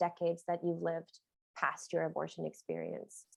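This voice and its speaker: A woman with an American accent has a fairly low pitch and an ordinary speaking voice. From US West Coast. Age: 40s. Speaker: nonprofit executive director. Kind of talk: virtual presentation. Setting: video call.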